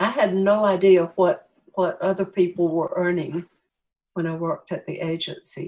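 A woman with an American accent uses an ordinary speaking voice at medium pitch and a fairly slow pace. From US South, Greenville, South Carolina. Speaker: graphic designer and children's book author. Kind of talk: interview conversation.

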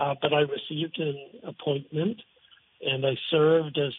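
A man's normal speaking voice, fairly high in pitch, at a fairly slow pace. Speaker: former UN communications consultant. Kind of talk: radio interview. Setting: phone call.

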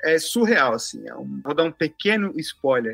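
At a moderate pace, a man talks in a normal speaking voice with a fairly high pitch, the sound dry and close with no echo. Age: 40s. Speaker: tuba player. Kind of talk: interview.

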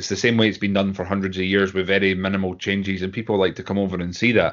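With a Scottish accent, a man speaks in a fairly low pitch. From Scotland. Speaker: Highland Games athlete. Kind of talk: casual interview chat.

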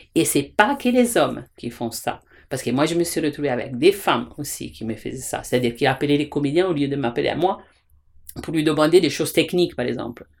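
A woman's very deep, low voice with lively intonation at a fairly quick pace. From Italy. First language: Italian (speaking French). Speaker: theatre director and teacher. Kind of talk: interview. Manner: halting.

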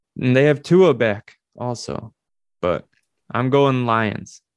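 With an American accent, a man talks at a very slow pace in a medium-pitched voice. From Minnesota. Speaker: sports podcast co-host. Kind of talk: casual chat.

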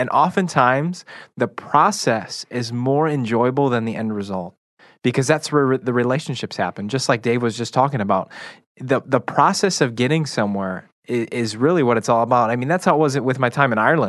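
Over a quiet background, a plain, everyday voice in an American accent moves at a fairly quick pace with ordinary pitch variation. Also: man, medium pitch for a man. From Chicago, US Midwest. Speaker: radio show guest co-host. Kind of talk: casual chat.

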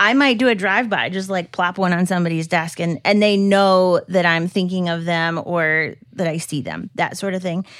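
On a very clean recording with a silent background, a woman with a plain, everyday voice talks at medium pitch and a moderate pace. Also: ordinary pitch variation. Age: 30s. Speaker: church tech director and operations officer. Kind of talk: casual chat.

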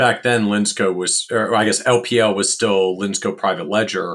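A man with an unremarkable speaking voice talks at a fairly low pitch and a moderate pace, his intonation fairly even. The recording is very clean, with a silent background. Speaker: podcast host. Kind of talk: interview.

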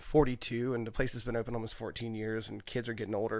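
This man has a plain, everyday voice at a medium pitch, talking at a fairly quick pace with an American accent. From US South, southwestern Virginia (Pulaski County). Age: 40s. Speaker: chef and restaurant owner. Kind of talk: casual chat. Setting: studio.

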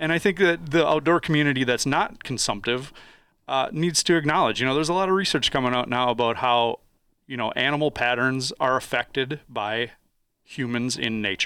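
Speaking at a fairly quick pace, a man with an American accent has a medium pitch and a bright, sharp tone. The pitch varies in an ordinary way, and the recording is very clean with a silent background. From northwest Wisconsin, US Upper Midwest. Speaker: environmental scientist. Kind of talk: casual chat.

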